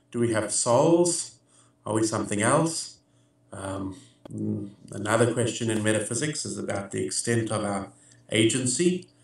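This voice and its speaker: With audible room echo, a man with a fairly low voice talks at a moderate pace, using lively intonation and long, frequent pauses. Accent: American. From South Africa. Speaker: philosopher. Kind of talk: interview answers. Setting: video call. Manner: hesitant, many filler words.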